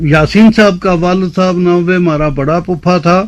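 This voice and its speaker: The voice belongs to a man. It sits high in pitch. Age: 80s+. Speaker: Sufi elder. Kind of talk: interview.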